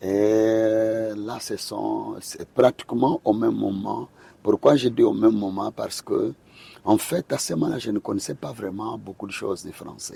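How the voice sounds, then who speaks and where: The speech moves at a fairly slow pace with big swings in loudness, and the sound is dry and close with no echo. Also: man. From Angola. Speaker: pastor and gospel singer. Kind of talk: interview conversation. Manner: hesitant, many fillers.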